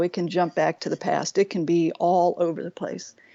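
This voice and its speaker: A woman with an ordinary speaking voice, medium pitch and moderate pace. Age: 60s. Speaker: nature guide and life coach. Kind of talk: interview conversation.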